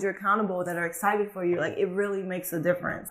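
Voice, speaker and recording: A woman talks very fast, with background noise clearly audible. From Guinea, West Africa, then Atlanta from age 11. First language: Fulani and French. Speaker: model and actress. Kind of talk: casual interview chat.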